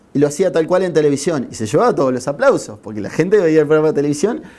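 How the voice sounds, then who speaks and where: A man with a Uruguayan accent, a very fast pace, a fairly high pitch and a dark, mellow tone. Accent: Rioplatense Spanish (Uruguayan). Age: 30s. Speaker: journalist. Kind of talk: interview.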